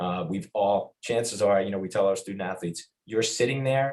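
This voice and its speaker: A man speaks at a moderate pace with a Long Island accent. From Long Island, New York. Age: 50s. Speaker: athletics administrator. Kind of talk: podcast interview.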